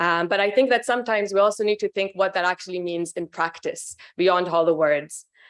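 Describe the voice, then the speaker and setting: A woman at medium pitch and a fairly quick pace. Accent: non-native. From Norway and Israel. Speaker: community advocate. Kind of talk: prepared speech. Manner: hesitant with fillers.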